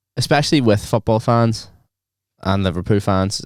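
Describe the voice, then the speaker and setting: Heard in a very clean recording with a silent background, a man speaks at a moderate pace with ordinary pitch variation. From Northern Ireland, rural. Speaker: podcast co-host. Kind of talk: casual chat. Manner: animated.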